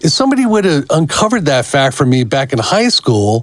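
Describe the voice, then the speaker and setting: There is noticeable background noise as a man talks at a moderate pace. His fairly high voice swings very widely in pitch. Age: 60s. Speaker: podcast co-host. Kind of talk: casual chat.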